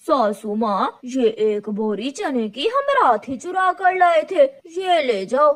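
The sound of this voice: This is a female-sounding, cartoonish character voice. It sits at a high pitch. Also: moderate pace.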